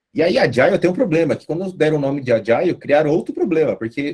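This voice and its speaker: A man speaks in a fairly high, somewhat breathy voice with lively intonation. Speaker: guest lecturer on agile methods. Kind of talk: online lecture. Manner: casual, animated.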